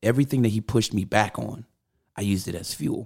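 A man with an American accent speaks at a moderate pace and a fairly low pitch. The sound is dry and close with no echo, on a very clean recording with a silent background. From US West Coast (Los Angeles). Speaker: drummer and musician. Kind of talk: casual chat. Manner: animated, laughs a lot.

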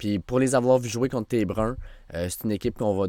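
In a Quebec accent, a man talks fairly quickly at a fairly low pitch. The recording is very clean, with a silent background. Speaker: podcast co-host, football talk. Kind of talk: casual chat about football.

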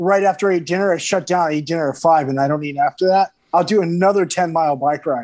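Lively intonation marks a man's speech on a very clean recording with a silent background. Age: 50s. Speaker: rock guitarist. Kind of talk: casual chat.

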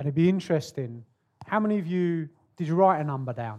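This man speaks with a British accent. His pitch variation is ordinary. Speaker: podcast host. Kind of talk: podcast interview. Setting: stage with audience.

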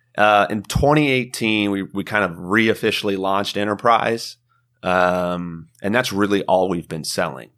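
In a very clean recording with a silent background, a man with an American accent speaks at a moderate pace with a fairly low pitch and ordinary pitch variation. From Midwest, small-town southern Illinois. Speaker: software sales manager. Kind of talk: podcast interview. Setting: live at a trade show. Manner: animated.

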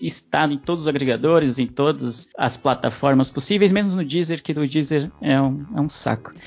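Music plays behind a man who speaks at a moderate pace in a São Paulo accent. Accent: paulistano Brazilian Portuguese. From São Paulo (East Zone), Brazil. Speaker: podcaster guest. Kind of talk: casual panel chat.

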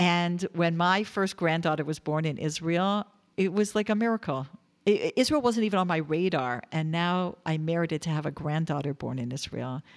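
In a very clean recording with a silent background, a woman uses an ordinary speaking voice with a fairly low pitch and ordinary pitch variation. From Canada, Toronto. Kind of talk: interview storytelling.

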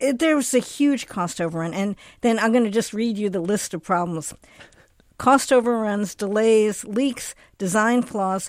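Fairly high in pitch, a woman with a normal speaking voice uses lively intonation at a moderate pace on a very clean recording with a silent background. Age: 60s. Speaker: health journalist. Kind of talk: panel news discussion.

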